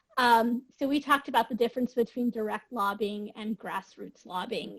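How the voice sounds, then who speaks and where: A woman speaks in a somewhat breathy voice. Her pitch rises and falls in an ordinary way. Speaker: webinar participant reporting from breakout group. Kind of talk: group report-out in webinar. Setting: video call.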